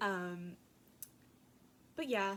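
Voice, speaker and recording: A woman's medium-pitched voice with a slight Southern accent. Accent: slight southern twang. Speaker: craft vlogger. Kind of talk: casual chat. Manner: hesitant, many fillers.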